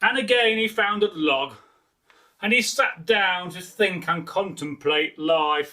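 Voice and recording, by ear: Slowly and with a bright, sharp tone, a man speaks at a high pitch with ordinary pitch variation.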